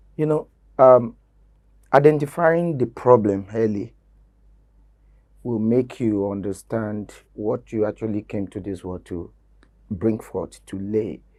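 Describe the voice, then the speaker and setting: In a very clean recording with a silent background, a man with a dark, mellow tone and fairly low pitch speaks at a fairly slow pace, with long, frequent pauses and big swings in loudness. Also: ordinary pitch variation. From Nigeria, Ondo State (Yoruba). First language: Yoruba. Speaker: Yoruba language promoter, game show host. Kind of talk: interview. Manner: hesitant with fillers.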